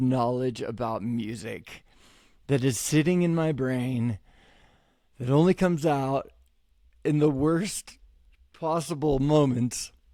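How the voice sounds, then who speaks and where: Over a very clean recording with a silent background, a man with a fairly high pitch and a dark, mellow tone speaks very slowly with ordinary pitch variation and long, frequent pauses. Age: 40s. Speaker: podcast host and musician. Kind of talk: casual podcast introduction.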